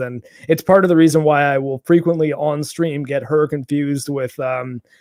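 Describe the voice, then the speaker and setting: A man with a Canadian accent has a normal speaking voice at a fairly high pitch, moving at a moderate pace with fairly even intonation, and the sound is dry and close with no echo on a very clean recording with a silent background. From Canada, Toronto. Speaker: gaming YouTuber. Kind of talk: casual chat.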